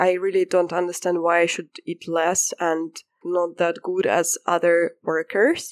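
A woman talks at a fairly slow pace in a fairly low pitch, her intonation monotone and flat. The sound is dry and close, with no echo. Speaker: festival volunteer sharing experience. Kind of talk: casual chat, storytelling.

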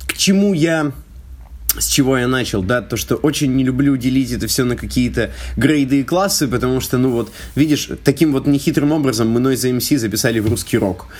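At a moderate pace, a man speaks at medium pitch. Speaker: rap battle organizer. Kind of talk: casual chat. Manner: hesitant, many fillers.

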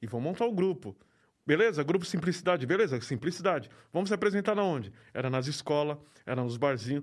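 Very fast, lively speech from a man with a fairly high pitch. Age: 40s. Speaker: graffiti artist. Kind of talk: interview.

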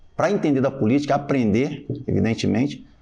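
A man's voice sits fairly high in pitch. Background music plays throughout. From Rio de Janeiro, Brazil. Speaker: army lieutenant and city council candidate. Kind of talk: casual podcast conversation.

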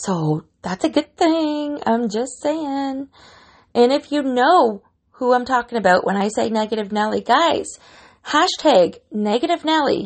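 At a fairly slow pace, a woman speaks with a high pitch and very wide pitch swings. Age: 40s. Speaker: fitness podcast host. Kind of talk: solo podcast monologue. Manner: animated.

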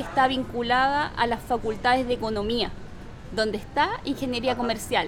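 A woman talks at a moderate pace in a high voice. Noticeable background noise sits behind her. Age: 30s. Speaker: public policy and entrepreneurship specialist. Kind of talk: interview. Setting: coworking space.

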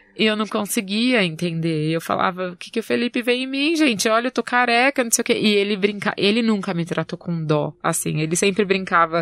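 Talking at a fairly quick pace with hardly any pauses, a woman uses a normal speaking voice, medium pitch and lively intonation. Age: 20s. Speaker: cancer survivor sharing her story. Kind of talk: testimony.

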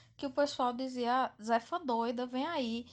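A high-pitched woman's voice at a fairly slow pace over a quiet background. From Northeast Brazil, Campina Grande, Paraíba. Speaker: listener sending a voice message. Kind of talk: recorded voice message, family anecdote.

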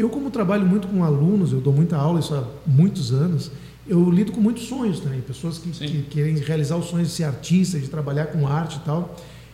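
With audible room echo and noticeable background noise, a fairly high-pitched man talks fairly quickly, his pitch varying in an ordinary way. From southern Brazil, Dom Pedrito (Rio Grande do Sul). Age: 40s. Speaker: singer-songwriter and music teacher. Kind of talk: radio interview.

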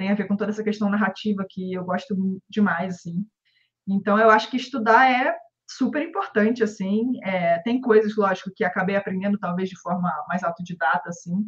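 A woman speaks with a Rio de Janeiro accent. Her voice is somewhat breathy. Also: medium pitch for a woman, ordinary pitch variation, moderate pace. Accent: carioca. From Rio de Janeiro, Brazil. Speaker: comic book artist. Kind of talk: casual interview.

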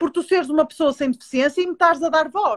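With lively intonation and an extremely high pitch, a woman speaks in a dry, close sound with no echo. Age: 30s. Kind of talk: interview.

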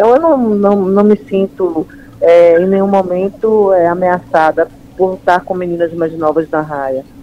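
A woman talks at a fairly slow pace and medium pitch for a woman. Her pitch varies in an ordinary way, with noticeable background noise. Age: 50s. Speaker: amateur stand-up paddle champion. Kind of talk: interview. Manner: halting, many fillers.

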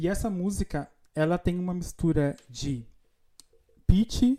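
Very slowly and with ordinary pitch variation, a man speaks in a dark, mellow tone. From Brazil, Rio Grande do Sul interior. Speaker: podcast host. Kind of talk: casual chat.

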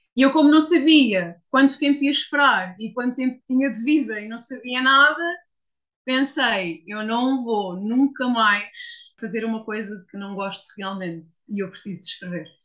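An ordinary speaking voice from a woman, fairly high-pitched, at a moderate pace with lively intonation. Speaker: copywriter. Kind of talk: interview testimony.

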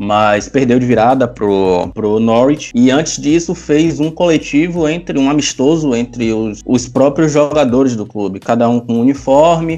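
A man speaks at a fairly slow pace with hardly any pauses. His tone is dark and mellow, with ordinary pitch variation. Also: medium pitch for a man. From Bahia, Brazil. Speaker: football podcast panelist. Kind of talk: casual chat.

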